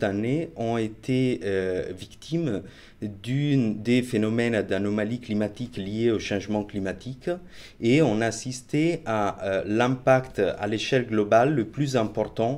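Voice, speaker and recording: With an Italian accent, a man speaks very slowly at medium pitch, his pitch varying an ordinary amount. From Italy. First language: Italian (speaking French). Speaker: marine researcher. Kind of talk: interview. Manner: hesitant, many fillers.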